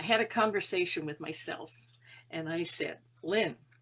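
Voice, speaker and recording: Bright and sharp in tone, a woman speaks at a fairly slow pace with lively intonation. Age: 70s. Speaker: spiritual teacher. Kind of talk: inspirational talk. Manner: halting.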